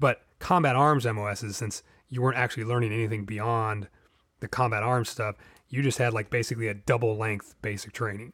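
A man with an American accent at medium pitch, fairly quick and fairly even in intonation, on a very clean recording with a silent background. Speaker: tabletop gaming podcast host. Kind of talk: casual solo monologue. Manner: rambling, filler-heavy.

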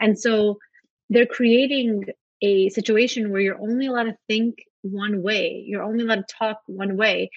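The speaker, a woman, has a New York accent. She keeps to a moderate pace. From New York (Brooklyn), born in Soviet Russia. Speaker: writer. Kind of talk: casual interview. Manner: animated.

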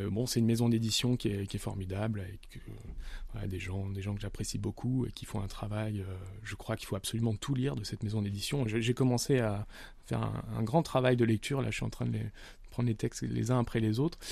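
A man's somewhat breathy, fairly low voice with a dark, mellow tone, ordinary pitch variation and a fairly quick pace against a quiet background. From France, Nice. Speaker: novelist. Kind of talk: interview. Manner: halting.

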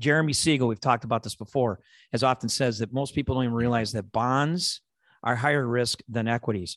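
Very fast, with a Chicago accent, a man speaks at a medium pitch with ordinary pitch variation, in a dry, close sound with no echo and a quiet background. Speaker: investment manager, co-host. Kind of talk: casual chat, podcast discussion. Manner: joking, playful.

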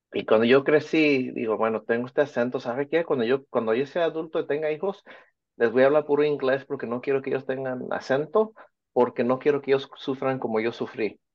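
A man talks at a moderate pace in a medium-pitched, an unremarkable speaking voice. His pitch varies in an ordinary way. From Orange County, California (Mexican family from Michoacán). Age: 50s. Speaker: teacher and children's author. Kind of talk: interview.

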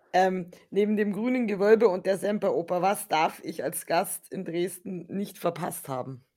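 Her voice is medium in pitch, with a dark, mellow tone and ordinary pitch variation. The woman speaks at a fairly slow pace with hardly any pauses. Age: 30s. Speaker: podcast co-host. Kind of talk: casual chat.

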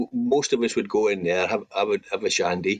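The voice comes in a Scottish accent at a moderate pace. The sound is dry and close, with no echo. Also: man. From Scotland, Banff in Aberdeenshire. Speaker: former footballer. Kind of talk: interview.

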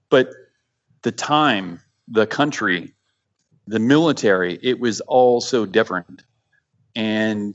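With long, frequent pauses, a man talks at a medium pitch with ordinary pitch variation. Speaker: war veteran. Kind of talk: casual chat.

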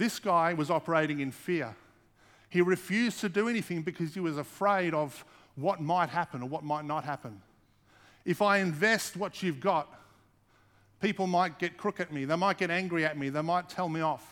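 On a very clean recording with a silent background, a man with an Australian accent speaks at a moderate pace, his high pitch showing ordinary variation. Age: 40s. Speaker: pastor. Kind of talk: sermon.

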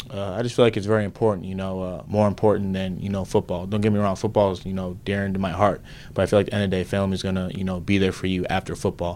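Very fast and with hardly any pauses, a man with an American accent talks in a very deep, low pitch and a monotone, flat intonation. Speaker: football player. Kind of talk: interview answers. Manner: soft-spoken.

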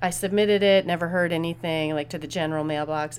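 The speech moves at a moderate pace. Its tone is animated, with lively intonation. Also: woman. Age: 40s. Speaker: podcast host and interviewer. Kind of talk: casual monologue. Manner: animated, frequent laughing; rambling with filler words.

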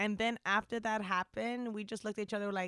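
A woman speaks at a fairly quick pace. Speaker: podcast co-host. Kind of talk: casual chat. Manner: animated.

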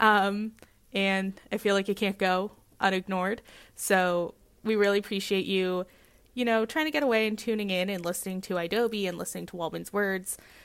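A woman with a plain, everyday voice and an American accent speaks at a medium pitch and moderate pace with fairly even intonation, in a very clean recording with a silent background. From California. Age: 20s. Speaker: radio host. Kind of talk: casual chat.

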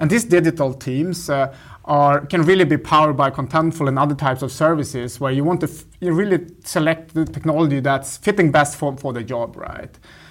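With a Swedish accent, a man speaks at a fairly high pitch with ordinary pitch variation and hardly any pauses. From northern Sweden. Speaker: tech product executive. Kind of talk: interview. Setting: office. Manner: halting.

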